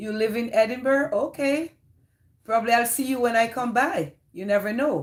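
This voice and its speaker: A woman in a Jamaican accent, fairly high in pitch, with lively intonation at a moderate pace. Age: 50s. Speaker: live streamer. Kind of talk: casual chat.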